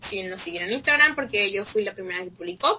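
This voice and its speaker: Speaking at a medium pitch, a woman uses lively intonation over noticeable background noise. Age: young. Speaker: podcast co-host, fashion design student. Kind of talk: casual chat.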